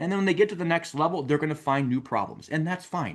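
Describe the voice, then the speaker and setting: With a Wisconsin accent and lively intonation, a man speaks over a quiet background. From Wisconsin, US Upper Midwest. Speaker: mortgage coach and show host. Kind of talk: recorded show intro monologue. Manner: casual, conversational.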